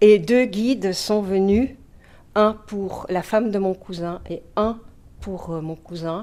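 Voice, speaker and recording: Very slow speech with a dark, mellow tone, fairly even intonation and a Dutch accent. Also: woman. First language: Dutch (speaking French). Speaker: mediumship student. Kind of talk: testimony.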